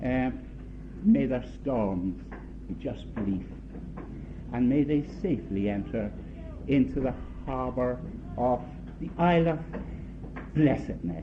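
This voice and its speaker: A man with a non-native accent at a very slow pace, with long, frequent pauses and audible room echo. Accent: foreign. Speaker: uncle of the bride giving a wedding toast. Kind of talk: wedding speech. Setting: wedding reception. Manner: halting.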